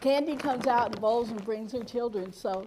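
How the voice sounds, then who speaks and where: A loud, high-pitched woman's voice with ordinary pitch variation, plus noticeable background noise and audible room echo. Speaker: cooking instructor. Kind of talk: cooking demonstration.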